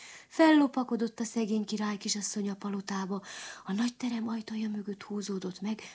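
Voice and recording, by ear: This is reading aloud in a natural voice. The melody of the speech stays mostly flat.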